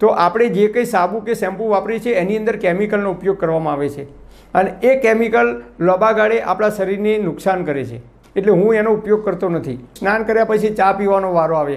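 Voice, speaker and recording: This man's voice sits high in pitch. His pitch variation is ordinary. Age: 50s. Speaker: YouTuber giving health advice. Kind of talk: monologue to camera; instructional talk to camera. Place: studio. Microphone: lapel.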